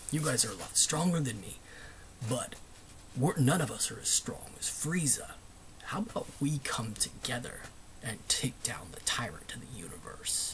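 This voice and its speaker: Whispering male put-on character voice broken by long, frequent pauses. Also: moderate pace. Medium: solo performance. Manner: haughty, contemptuous.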